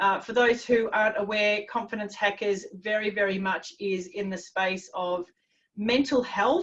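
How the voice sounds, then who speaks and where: A woman's unremarkable speaking voice at a medium pitch, with ordinary pitch variation. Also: fairly slow pace. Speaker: confidence coach. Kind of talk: webinar presentation.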